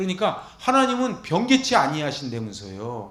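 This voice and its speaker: With audible room echo and noticeable background noise, a man speaks in an animated tone. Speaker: pastor. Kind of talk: Bible lecture sermon. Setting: church. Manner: fast.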